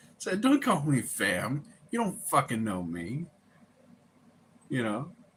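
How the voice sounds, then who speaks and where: Vocal fry with very wide pitch swings at a very slow pace. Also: man, fairly high pitch for a man. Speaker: live streamer. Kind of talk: casual chat. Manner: laid-back.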